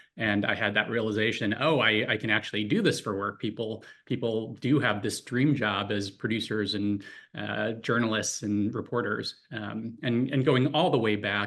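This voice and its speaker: With a General American accent, a man speaks in a fairly low pitch at a moderate pace. His pitch varies in an ordinary way over a quiet background. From US Midwest, Chicago suburbs. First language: Korean. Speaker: documentary funding executive. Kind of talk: panel interview. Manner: frequent fillers, some repetition.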